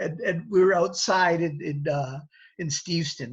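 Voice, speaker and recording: A man's somewhat breathy voice is heard against a quiet background. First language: Italian. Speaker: actor. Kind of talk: interview. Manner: halting, many fillers and repeats.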